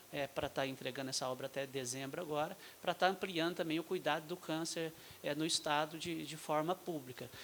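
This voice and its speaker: A man with a fairly high pitch speaks at a moderate pace with fairly even intonation. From Brazil, Minas Gerais. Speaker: state health official, physician. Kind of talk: panel talk at medical forum. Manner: halting, many fillers.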